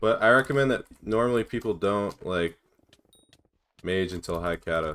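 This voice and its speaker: A man with an ordinary speaking voice, fairly low in pitch, with ordinary pitch variation, a moderate pace and an American accent. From United States. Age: 20s. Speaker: gaming streamer. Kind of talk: live stream chat while gaming. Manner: casual, reading chat questions aloud.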